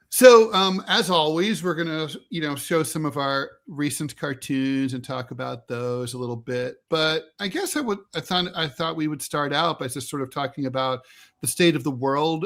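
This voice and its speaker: A man with a plain, everyday voice speaks at a moderate pace, fairly high in pitch with ordinary pitch variation. The recording is very clean, with a silent background. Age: 60s. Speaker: political podcast co-host, editorial cartoonist. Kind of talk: casual political discussion.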